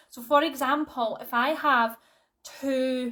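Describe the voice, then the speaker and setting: The voice has a bright, sharp tone and a Scottish accent. Its intonation is fairly even. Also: woman. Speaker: direct sales team leader. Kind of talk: online training talk. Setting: live stream. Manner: casual, many fillers.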